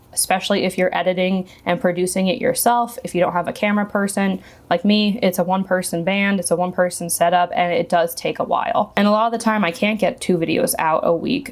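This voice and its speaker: A woman speaks fairly quickly at a medium pitch, with fairly even intonation and hardly any pauses. Noticeable background noise runs underneath. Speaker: beauty YouTuber. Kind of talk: casual vlog talk to camera. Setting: home filming setup, camera and monitor. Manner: stutters over words at times.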